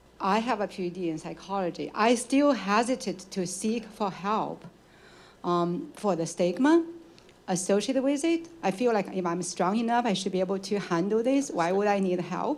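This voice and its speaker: A woman with a non-native accent speaks at a moderate pace and medium pitch, with audible room echo. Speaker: audience member asking a question. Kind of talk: audience question at a lecture Q&A.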